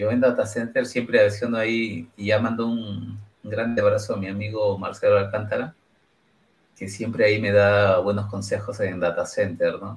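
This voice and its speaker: A man's fairly low, somewhat breathy voice in a monotone, flat intonation. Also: moderate pace. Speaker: podcast host. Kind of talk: casual chat. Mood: friendly, smiling. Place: home room. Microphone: headset.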